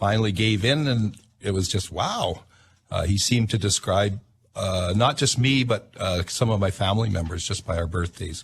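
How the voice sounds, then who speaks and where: Against a quiet background, a man speaks with a somewhat breathy voice and a fairly low pitch. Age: 60s. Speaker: inventor and self-taught astrologer. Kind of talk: radio interview. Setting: radio studio. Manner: halting, many fillers.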